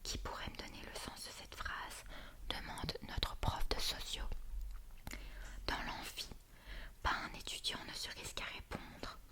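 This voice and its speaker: A woman whispering at a fairly slow pace with long, frequent pauses, amid noticeable background noise. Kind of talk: whispered reading of a book. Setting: quiet room with crackling fire sound. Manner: whispered, slow.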